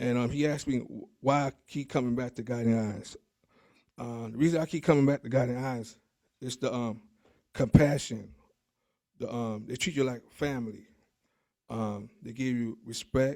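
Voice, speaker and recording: A man with a New York accent speaks at a moderate pace and medium pitch, his dark, mellow tone carrying fairly even intonation, long, frequent pauses and big swings in loudness. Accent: New York City. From New York City, the Bronx. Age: 40s. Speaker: guide dog graduate. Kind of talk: graduation speech. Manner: halting, many fillers.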